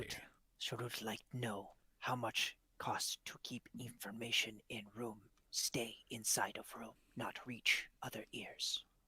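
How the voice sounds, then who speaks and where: Whispering in a put-on character voice, a man speaks. His pace is fairly slow. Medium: actual play. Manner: broken third-person speech.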